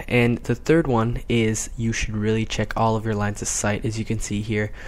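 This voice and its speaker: A man speaks quietly at a moderate pace. His pitch is medium. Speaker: gaming commentator. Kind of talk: video game commentary. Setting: at home, late at night. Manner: quiet, keeping voice down.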